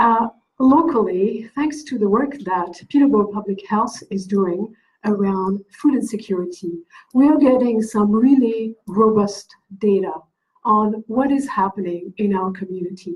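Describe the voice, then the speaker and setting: A woman's somewhat breathy, fairly high voice in a French accent, fairly slow in pace, with ordinary pitch variation. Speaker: event organizer introducing speaker. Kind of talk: event introduction.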